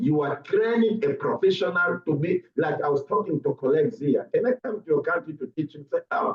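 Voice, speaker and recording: A man with a high pitch talks at a moderate pace with lively intonation. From Angola. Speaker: medical lecturer. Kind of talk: conference talk.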